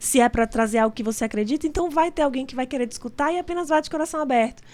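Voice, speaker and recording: This woman talks very fast in a high voice with ordinary pitch variation. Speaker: entrepreneur and business association leader. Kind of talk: interview.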